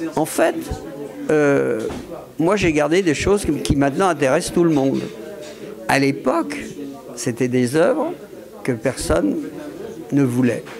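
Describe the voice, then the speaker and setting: A fairly slow delivery with long, frequent pauses, very even loudness and ordinary pitch variation, amid audible room echo and noticeable background noise. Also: man, fairly high pitch for a man. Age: 70s. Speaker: art collector and gallery owner. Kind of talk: interview. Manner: hesitant, many fillers and repetitions.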